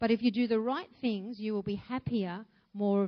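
Someone reads aloud, using a natural voice. Their intonation is fairly even.

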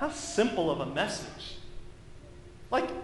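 Moderate pace from a man, amid audible room echo and noticeable background noise. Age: 30s. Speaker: pastor. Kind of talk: sermon. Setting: church.

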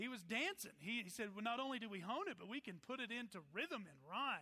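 A man with an American accent raises and projects his voice. His tone is bright and sharp. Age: 40s. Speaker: pastor. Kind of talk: sermon.

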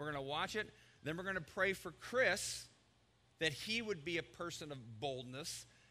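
Bright, sharp tone with lively intonation at a moderate pace. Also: man. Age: 50s. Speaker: pastor. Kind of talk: sermon. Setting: church.

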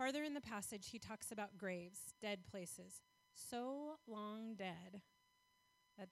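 Over background music, the speaker talks at a fairly slow pace with ordinary pitch variation. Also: woman. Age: 40s. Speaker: guest speaker for a foster care charity. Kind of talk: sermon.

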